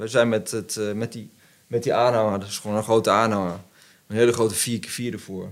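A man at medium pitch speaks at a fairly quick pace on a very clean recording with a silent background. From Netherlands, Arnhem region. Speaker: business owner, CEO of plastics recycling company. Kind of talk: casual chat. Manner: hesitant, many filler sounds.

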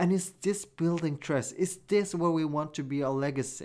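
A man with a Norwegian accent and a fairly high pitch speaks at a moderate pace with fairly even intonation, on a very clean recording with a silent background. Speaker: podcast host. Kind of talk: solo commentary podcast.

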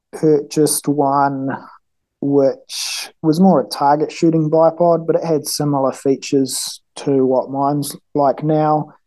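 Speaking in a New Zealand accent, a man has a fairly high pitch, a dark, mellow tone and monotone, flat intonation. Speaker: engineer and mountain hunter, gear maker. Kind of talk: casual interview. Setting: call.

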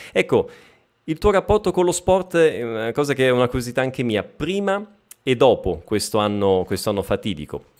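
Very wide pitch swings mark this man's medium-pitched voice as he talks at a moderate pace. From Lombardy, province of Bergamo (Sicilian family). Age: 30s. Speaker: Italian language teacher. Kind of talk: live stream interview. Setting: live stream video call. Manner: animated.

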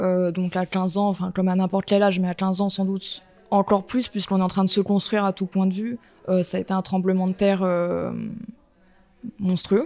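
A woman with a dark, mellow tone and medium pitch talks at a fairly quick pace in a monotone, flat intonation, leaving long, frequent pauses. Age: 20s. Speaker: portrait photographer. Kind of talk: personal testimony interview.

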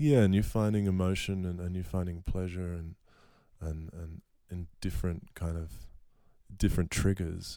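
With an Australian accent, a man speaks at a very deep, low pitch in a dark, mellow tone. He leaves long, frequent pauses on a very clean recording with a silent background. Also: ordinary pitch variation, moderate pace. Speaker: musician. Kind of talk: casual interview.

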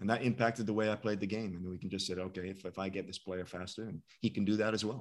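Talking at a very fast pace with hardly any pauses, a man keeps his intonation fairly even in a very clean recording with a silent background. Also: fairly low pitch for a man. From UK. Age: 50s. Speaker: sprint coach. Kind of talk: casual chat.

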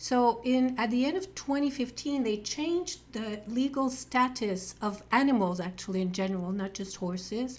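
The speaker has a French accent and lively intonation. The moderate pace leaves hardly any pauses. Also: woman, fairly high pitch for a woman. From Quebec. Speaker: podcast co-host, horse show co-founder. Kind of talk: interview podcast.

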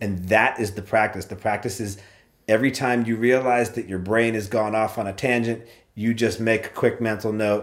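A man's ordinary speaking voice holds a medium pitch and fairly even intonation while moving at a fairly quick pace. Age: 40s. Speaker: podcast host. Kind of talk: casual chat.

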